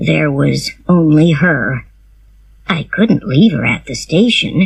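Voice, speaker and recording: A man's quiet, raspy, put-on character voice, fairly high in pitch and fairly slow in pace. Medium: read story. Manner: quiet, slow.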